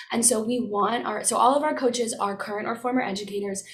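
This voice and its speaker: A loud woman's voice, fairly high-pitched and fairly quick, with fairly even intonation, audible room echo and noticeable background noise. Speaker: student social entrepreneur. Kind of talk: pitch Q&A. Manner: trying to speak loud and clear.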